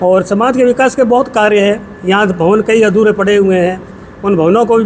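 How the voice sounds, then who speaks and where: A high-pitched man talks with ordinary pitch variation against noticeable background noise. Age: 70s. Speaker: retired police officer, newly elected community association president. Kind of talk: media interview.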